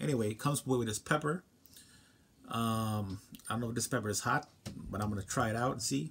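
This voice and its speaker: At a very fast pace, a man speaks with lively intonation over light background noise. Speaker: food reviewer. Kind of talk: casual vlog chat. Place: home room. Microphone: phone near.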